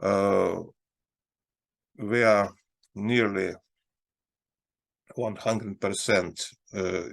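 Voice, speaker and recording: In a Russian accent, a man with a fairly low voice speaks very slowly in a flat monotone, leaving long, frequent pauses. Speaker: investment advisor. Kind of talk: market analysis talk. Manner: halting.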